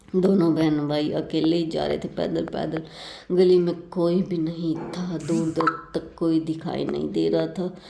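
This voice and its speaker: A woman's fairly low, flat, monotone voice at a very slow pace over noticeable background noise. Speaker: vlogger. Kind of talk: vlog narration.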